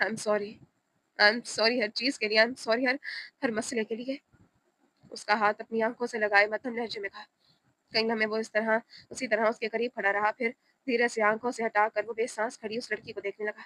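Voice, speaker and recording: Soft-spoken and fairly high-pitched, a woman talks with a bright, sharp tone and monotone, flat intonation, the sound dry and close with no echo. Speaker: audiobook narrator. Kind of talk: reading aloud. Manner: soft, emotional tone.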